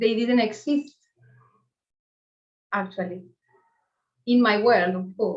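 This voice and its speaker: With an Argentine accent, a woman speaks very slowly in a fairly high, somewhat breathy voice, with ordinary pitch variation and long, frequent pauses. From Argentina. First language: Spanish. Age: 40s. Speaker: meditation teacher. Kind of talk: spiritual talk to a group. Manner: halting.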